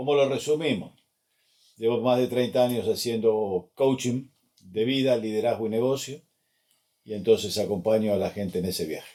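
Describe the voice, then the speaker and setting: A man with an Argentine accent, medium pitch and a dark, mellow tone, at a moderate pace with ordinary pitch variation and long, frequent pauses. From Argentina, Buenos Aires. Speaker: life and business coach. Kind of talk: interview.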